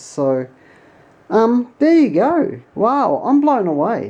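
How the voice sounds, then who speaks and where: Very wide pitch swings run through a woman's dark, mellow voice, spoken with an Australian accent. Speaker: tech YouTuber. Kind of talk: tutorial. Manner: casual, hesitant with fillers; animated.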